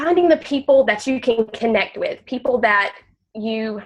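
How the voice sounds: A woman speaks at a fairly slow pace in a nasal voice with a fairly high pitch and ordinary pitch variation.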